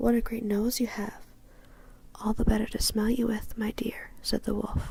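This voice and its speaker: Someone whispers at a moderate pace. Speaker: ASMR creator. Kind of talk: bedtime story reading. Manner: whispered.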